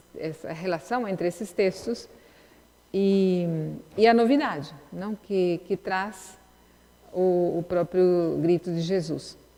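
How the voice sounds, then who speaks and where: Her pitch fairly low, a woman speaks at a very slow pace with fairly even intonation and long, frequent pauses. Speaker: lecturer in a religious course. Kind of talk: lecture. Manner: halting.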